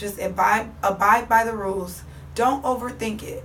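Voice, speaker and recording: Audible room echo is present. Background noise is noticeable too. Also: woman. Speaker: fitness coach. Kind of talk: motivational instruction to viewers.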